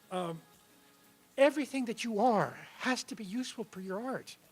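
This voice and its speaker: Lively intonation marks this man's speech. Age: 70s. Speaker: writer. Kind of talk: onstage conversation. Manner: halting.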